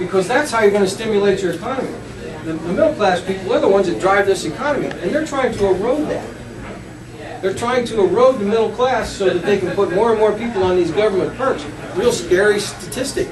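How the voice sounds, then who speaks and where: An animated man with a high-pitched voice at a fairly quick pace, ordinary pitch variation, audible room echo and noticeable background noise. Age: 60s. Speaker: political candidate. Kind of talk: campaign Q&A at a public meeting. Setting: pub meeting with audience.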